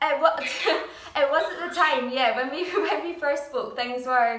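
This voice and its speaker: A woman with a Scottish accent, with noticeable background noise and audible room echo. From Scotland, Dundee. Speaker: musical theatre performer. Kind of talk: interview.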